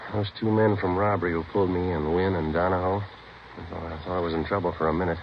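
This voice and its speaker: A man's very deep, low, monotone, flat voice at a very fast pace with hardly any pauses, over noticeable background noise. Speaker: undercover narcotics detective (fictional radio character). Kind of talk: old-time radio drama, first-person narration and dialogue. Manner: terse, laconic dialogue.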